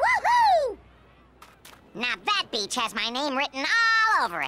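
This cartoonish character voice has a bright, sharp tone, swings very widely in pitch, and moves at a fairly slow pace.

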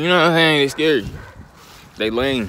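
The dry sound with no echo carries a man talking at a fairly quick pace. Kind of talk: casual vlog chat. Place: street. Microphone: phone near.

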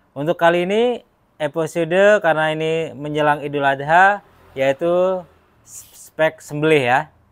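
The man's fairly high voice moves at a fairly slow pace, with ordinary pitch variation. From Indonesia. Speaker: knife seller presenting promo. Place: workshop. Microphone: phone near.

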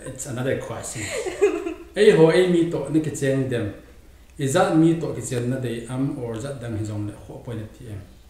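A man talks at a fairly quick pace with lively intonation. Audible room echo surrounds his voice. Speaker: podcast host. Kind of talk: casual interview. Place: home room.

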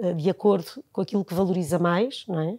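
A woman is speaking. The background is quiet. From Lisbon, Portugal; Portugal. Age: 50s. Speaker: nursery school founder and educator; interview guest. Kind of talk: casual interview. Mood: warm, reflective. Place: studio. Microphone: lapel.

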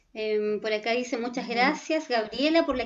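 Noticeable background noise sits behind a woman's voice. Her pitch is high and her intonation lively. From Chile, Concepción. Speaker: pedagogical coordinator moderating questions. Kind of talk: Q&A moderation. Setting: video call.

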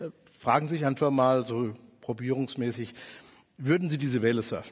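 A man speaks at a fairly quick pace, the background quiet. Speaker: conference speaker. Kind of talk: lecture. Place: stage. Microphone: headset.

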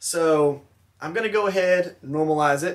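A man's high voice at a moderate pace, with fairly even intonation over a quiet background. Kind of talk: casual vlog chat. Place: workshop. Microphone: phone near.

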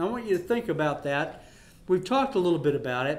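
This man talks at a high pitch. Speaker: pastor. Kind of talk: sermon. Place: home room. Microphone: handheld.

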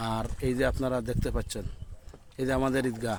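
A man speaks with audible room echo. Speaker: Islamic scholar and madrasa principal. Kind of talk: walking live video report with religious exhortation. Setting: outdoors, walking through flooded roads. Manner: casual, chats with villagers along the way.

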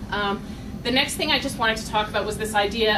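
Over noticeable background noise, a woman speaks in a medium pitch with fairly even intonation. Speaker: doctoral student. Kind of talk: event moderation. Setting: stage with audience.

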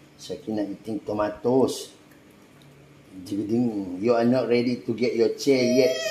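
Amid audible room echo, a man with a dark, mellow tone speaks at medium pitch and with fairly even intonation. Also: fairly slow pace.

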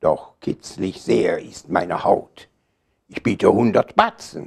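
A man speaks at a very slow pace with a quiet background. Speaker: poetry reciter. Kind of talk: poetry reading. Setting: live reading in a hall. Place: shop. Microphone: lapel.

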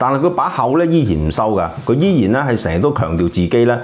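A man speaks with a Hong Kong accent. His pace is moderate. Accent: Hong Kong Cantonese. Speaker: film critic co-host. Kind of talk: casual chat. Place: studio. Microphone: lapel.

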